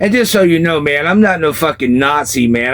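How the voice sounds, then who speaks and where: This man speaks in a Southern accent at a fairly high pitch. His intonation is lively, and his pace is moderate. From US South, South Carolina. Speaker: former punk rocker telling life stories. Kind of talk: casual storytelling interview.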